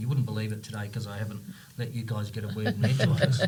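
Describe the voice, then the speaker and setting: A man speaks with vocal fry. Audible room echo surrounds his voice. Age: 60s. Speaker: company CEO and founder. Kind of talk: podcast interview. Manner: animated.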